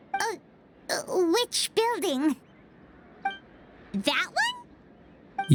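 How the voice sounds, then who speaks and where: Extremely high pitch defines this put-on character voice. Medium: video game. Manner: refers to self in third person.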